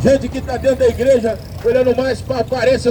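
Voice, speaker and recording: With music in the background, a man with an extremely high pitch talks at a moderate pace in a monotone, flat intonation. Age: 60s. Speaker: street preacher. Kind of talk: sermon.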